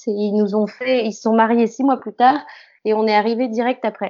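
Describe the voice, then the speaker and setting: It is a normal speaking voice, with fairly even intonation and a moderate pace. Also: woman. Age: 20s. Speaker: actress. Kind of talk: interview.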